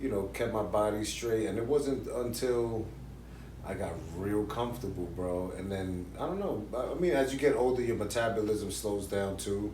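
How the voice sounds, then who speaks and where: A man speaks with a fairly low pitch. The room echo is audible. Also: ordinary pitch variation, moderate pace. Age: 40s. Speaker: YouTube interview show host. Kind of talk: casual interview chat. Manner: animated.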